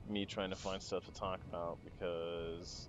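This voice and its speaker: Music plays in the background as a man speaks. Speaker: gaming youtuber. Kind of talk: gameplay tutorial commentary. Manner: casual, conversational.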